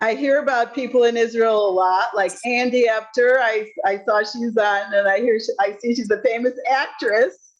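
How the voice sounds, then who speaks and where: With a Chicago accent, a woman speaks fairly slowly at a fairly high pitch, with fairly even intonation, very even loudness, and hardly any pauses. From Chicago, US Midwest. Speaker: retired alumni, university lecturer. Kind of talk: casual reunion chat. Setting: video call.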